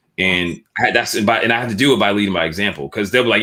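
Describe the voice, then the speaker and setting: The pitch moves in an ordinary way. The speaker has an American accent. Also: man. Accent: Boston accent, comes out once in a while. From Boston, Massachusetts (Dorchester). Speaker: entrepreneur and clothing brand founder. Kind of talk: interview conversation. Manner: casual, with many fillers and restarts.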